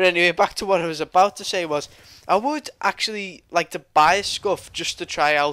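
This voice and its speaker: A man's bright, sharp tone at a high pitch, with ordinary pitch variation and a fairly quick pace, in a dry, close sound with no echo. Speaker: gaming commentator. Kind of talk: casual gameplay commentary. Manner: casual, rambling.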